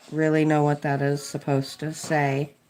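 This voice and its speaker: A woman speaks with an American accent. Her pitch is very deep and low, and her tone is dark and mellow. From Kentucky, US. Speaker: DIY restorer and livestreamer. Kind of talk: casual livestream chat while coloring.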